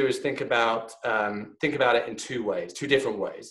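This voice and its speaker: A man at a medium pitch and moderate pace, with a British accent. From UK. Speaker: think tank fellow. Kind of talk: online lecture. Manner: halting, many fillers.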